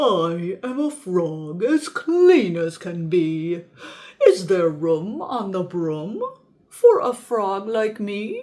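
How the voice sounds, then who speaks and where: A croaky, female-sounding put-on character voice at a middle pitch and a very slow pace. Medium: read story.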